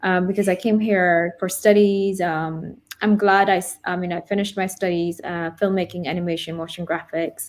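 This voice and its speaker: A woman with an American accent and fairly even intonation, on a very clean recording with a silent background. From Denmark. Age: 30s. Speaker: YouTube vlogger, cancer patient. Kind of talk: interview testimony. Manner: halting; mumbling.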